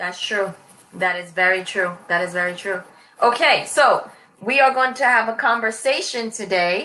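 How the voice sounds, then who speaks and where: Here a woman speaks in a New York accent at a moderate pace. Her tone is bright and sharp, and her pitch fairly high. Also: ordinary pitch variation. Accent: New York American. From New York City. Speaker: online English tutor. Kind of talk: casual conversation lesson.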